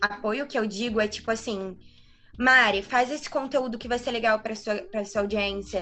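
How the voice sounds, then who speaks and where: Noticeable background noise behind a woman at a moderate pace, her pitch fairly high with ordinary variation. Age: 20s. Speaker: medical student and digital influencer. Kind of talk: casual interview.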